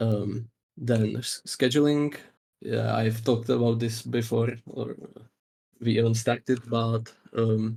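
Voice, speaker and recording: A man with a non-native accent speaks at a medium pitch in a somewhat breathy voice with a dark, mellow tone. His intonation is monotone and flat, the pace very slow, with long, frequent pauses. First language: not English. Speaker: game master. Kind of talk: casual chat. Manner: halting, many fillers.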